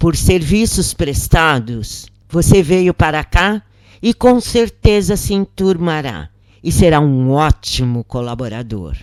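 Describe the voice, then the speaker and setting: A man puts on a hoarse character voice, fairly high and fairly slow, on a very clean recording with a silent background. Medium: read story. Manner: commanding.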